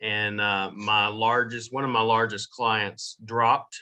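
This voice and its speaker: Against a quiet background, a man with a Southern US accent talks at a very slow pace. His fairly low voice has a bright, sharp tone and monotone, flat intonation. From US South, Jacksonville, Florida. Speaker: digital marketing agency owner. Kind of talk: podcast interview.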